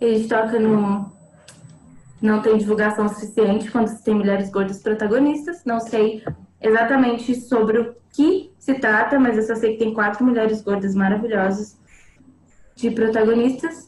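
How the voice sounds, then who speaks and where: The speech moves at a moderate pace with very even loudness and fairly even intonation. Background noise is noticeable. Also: woman, fairly high pitch for a woman. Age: 20s. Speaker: actress. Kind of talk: casual chat.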